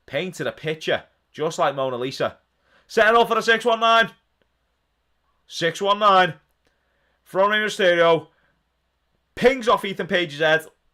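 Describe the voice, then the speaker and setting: A man with a Liverpool accent speaks in a raised, projected voice, high-pitched for a man, with a bright, sharp, animated tone and lively intonation. His pace is moderate with long, frequent pauses, on a very clean recording with a silent background. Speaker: wrestling watch-along streamer. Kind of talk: live stream watch-along commentary and chat. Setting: live stream.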